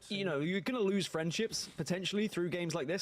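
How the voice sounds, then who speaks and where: A man with a British accent talks very fast. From Britain. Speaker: esports caster. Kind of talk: live commentary.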